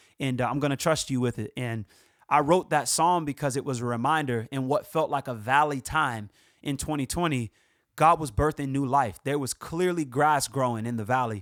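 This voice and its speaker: A man speaks at a medium pitch with ordinary pitch variation and an animated tone. The sound is dry and close with no echo, on a very clean recording with a silent background. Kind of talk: casual vlog update to fans. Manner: fast.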